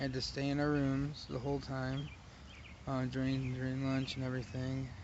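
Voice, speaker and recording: There is audible room echo as a man talks at a moderate pace and a medium pitch. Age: 30s. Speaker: vlogger. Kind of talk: casual monologue. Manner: halting.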